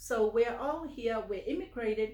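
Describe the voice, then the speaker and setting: In a room with audible echo, a woman speaks at a fairly high pitch with lively intonation and a somewhat breathy voice. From Samoa. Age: 70s. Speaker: finance trainer. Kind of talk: casual interview. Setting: home office.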